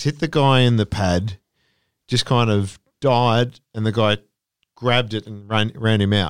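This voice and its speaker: A man with an Australian accent at a medium pitch, fairly slow pace and ordinary pitch variation, with long, frequent pauses, in a very clean, dry and close recording with no echo and a silent background. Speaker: cricket podcast co-host. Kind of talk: casual chat.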